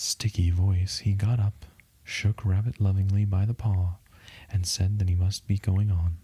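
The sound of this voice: An unforced reading voice carries the passage.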